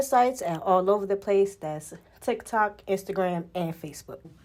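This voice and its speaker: Over noticeable background noise, a soft-spoken voice talks with ordinary pitch variation. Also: woman. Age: 30s. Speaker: video podcast host and body contouring business owner. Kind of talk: casual group discussion.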